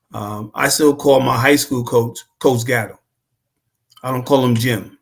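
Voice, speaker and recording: Somewhat breathy, a man with a New York accent talks at a fairly slow pace and medium pitch with fairly even intonation. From New York City (Queens). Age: 70s. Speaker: former basketball player and coach. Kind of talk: casual interview chat.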